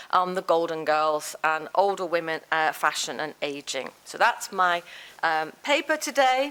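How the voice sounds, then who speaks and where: Her pitch swings very widely. The woman talks with a Liverpool accent. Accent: Liverpool (Scouse) English. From northern England, Liverpool. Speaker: professor. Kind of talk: lecture.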